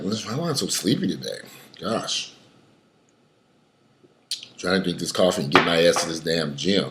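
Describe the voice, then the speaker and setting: In a put-on character voice, a man speaks with a raspy, very deep, low pitch and lively intonation at a moderate pace, leaving long, frequent pauses. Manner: groggy, grumbling.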